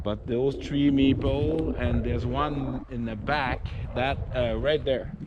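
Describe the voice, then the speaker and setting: Amid noticeable background noise and audible room echo, a man speaks at a very slow pace in a medium pitch with ordinary pitch variation. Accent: Quebec French. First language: French. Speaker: outdoor vlogger. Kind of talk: casual vlog narration. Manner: halting.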